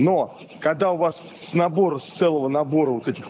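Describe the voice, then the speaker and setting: Fairly high pitch from a man, with ordinary pitch variation over light background noise. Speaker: academic examiner. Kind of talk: academic discussion. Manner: animated. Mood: thoughtful, critical questioning. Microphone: video call.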